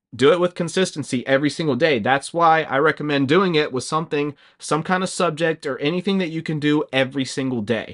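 A man talks at a fairly quick pace and fairly high pitch, with ordinary pitch variation and a plain, everyday voice. The background is quiet, and the sound is dry and close with no echo. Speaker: YouTuber and English teacher. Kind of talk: casual vlog tutorial. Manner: casual, filler-heavy.

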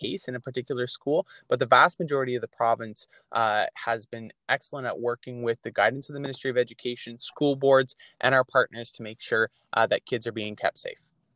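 With a Canadian accent, a man talks at a fairly quick pace in an unremarkable speaking voice at medium pitch, the sound dry and close with no echo. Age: 20s. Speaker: provincial politician. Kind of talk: interview.

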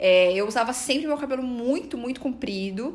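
This woman has an unremarkable speaking voice and talks at a moderate pace. Her intonation is lively. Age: 30s. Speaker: psychologist and podcast host. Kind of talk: personal testimony monologue.

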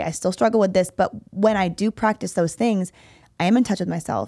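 A woman with a plain, everyday voice speaks at medium pitch with ordinary pitch variation, in a dry, close sound with no echo on a very clean recording with a silent background. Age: 30s. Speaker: fitness coach and podcast host. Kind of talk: casual chat.

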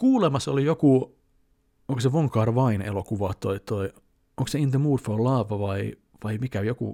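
With a dark, mellow tone, a man speaks at a medium pitch and a moderate pace with ordinary pitch variation. The recording is very clean, with a silent background and a dry, close sound with no echo. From Finland, Helsinki. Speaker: YouTuber. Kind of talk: casual vlog monologue. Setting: at home. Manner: loud; hesitant fillers.

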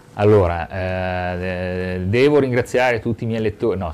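A man speaks with a very deep, low pitch. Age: 40s. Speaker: local politician. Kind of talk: interview.

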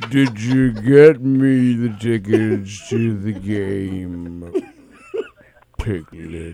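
A man doing a put-on character voice, fairly low in pitch and very slow. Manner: droopy, dull, slow.

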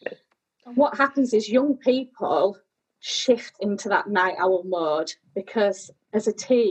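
A woman's fairly high voice in a British accent, with ordinary pitch variation. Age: 30s. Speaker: sleep charity executive. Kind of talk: casual interview chat.

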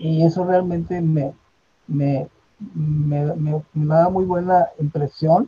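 With a dark, mellow tone and a fairly high pitch, a man speaks at a very slow pace in a flat, monotone way, the sound dry and close with no echo. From northern Mexico, Monterrey. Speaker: theatre director and retired physician. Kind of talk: interview.

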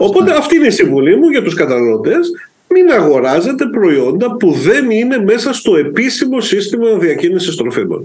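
Echo is audible in the room as a high-pitched man speaks at a moderate pace and very even loudness, his pitch swinging very widely. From Greece, Corfu. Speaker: food safety official. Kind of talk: casual interview.

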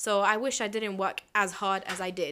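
On a very clean recording with a silent background, a woman speaks with a fairly high pitch and a bright, sharp tone. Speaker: university student. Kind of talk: casual chat.

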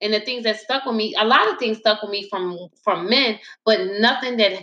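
With an unremarkable speaking voice, a woman talks at a moderate pace, her pitch fairly high and its variation ordinary. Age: 30s. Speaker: podcast host. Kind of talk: casual discussion. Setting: live stream.

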